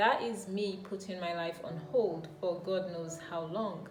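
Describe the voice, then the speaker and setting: Background music plays while this woman talks at a medium pitch. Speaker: YouTuber and amateur writer. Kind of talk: casual talk to camera. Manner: reflective, encouraging.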